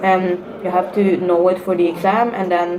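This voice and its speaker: Over noticeable background noise, a woman talks at medium pitch. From Norway. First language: Norwegian. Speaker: student vlogger. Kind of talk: casual vlog advice talk. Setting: sitting at university. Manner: hesitant, many fillers.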